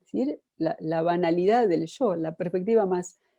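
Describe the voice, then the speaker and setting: A woman speaks in an Argentine accent with a dark, mellow tone. The background is quiet. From Argentina. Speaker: psychoanalyst and lecturer. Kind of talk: lecture.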